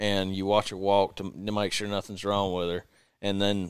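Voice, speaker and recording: Recorded very cleanly with a silent background, a man speaks with a fairly low pitch and monotone, flat intonation. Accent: Southern US. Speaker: videographer. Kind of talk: casual chat.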